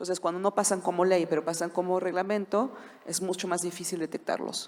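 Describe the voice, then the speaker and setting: A woman with a non-native accent and monotone, flat intonation. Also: medium pitch for a woman, fairly quick pace. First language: not Spanish (speaking Spanish). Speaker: corporate trademark lawyer. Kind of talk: conference panel talk.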